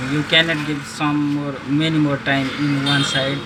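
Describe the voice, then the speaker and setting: At a very slow pace, a man with a Nepali accent talks at a fairly high pitch, with audible room echo and noticeable background noise. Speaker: phone repair vlogger. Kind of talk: tutorial. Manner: halting.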